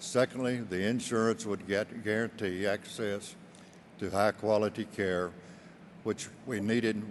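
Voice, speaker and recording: The man's voice is fairly low and monotone, with flat intonation. He speaks at a moderate pace. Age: 80s+. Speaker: widower and insurance client. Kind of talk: testimonial speech.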